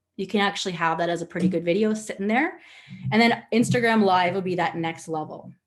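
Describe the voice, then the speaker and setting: A woman with a Nova Scotian accent at a medium pitch, very fast pace and ordinary pitch variation. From Nova Scotia, Canada. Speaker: social media trainer. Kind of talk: webinar presentation. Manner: animated.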